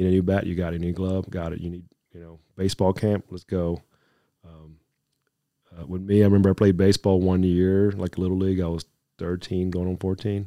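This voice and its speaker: In a very clean recording with a silent background, a man with an American accent speaks in a very deep, low pitch and a dark, mellow tone, with monotone, flat intonation and big swings in loudness. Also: fairly quick pace. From Dominican Republic, then Miami, Florida. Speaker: air force command chief. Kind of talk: casual interview.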